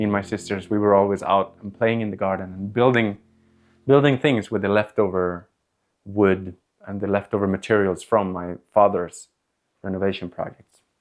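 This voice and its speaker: With a Swedish accent, this man talks at a moderate pace in a fairly low pitch, his loudness swinging widely. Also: fairly even intonation. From Sweden, Stockholm suburbs. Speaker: home renovator and content creator. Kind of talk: interview monologue.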